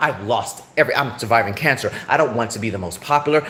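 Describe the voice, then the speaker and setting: Over noticeable background noise, a man speaks at a very fast pace in an animated tone. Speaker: livestreamer. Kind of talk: live stream rant. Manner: halting.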